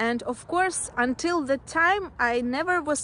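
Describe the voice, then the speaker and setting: Noticeable background noise sits behind a woman with a Russian accent whose pitch varies in an ordinary way. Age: 20s. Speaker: nail technician, video creator. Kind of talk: casual self-introduction vlog. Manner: halting, many fillers.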